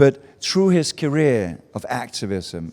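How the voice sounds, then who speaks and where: With a Danish accent, a man speaks in a dark, mellow tone in a very clean recording with a silent background. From Denmark, small Baltic island. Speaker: advertising speaker. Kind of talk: talk to a live audience. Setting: stage with audience at a festival meetup.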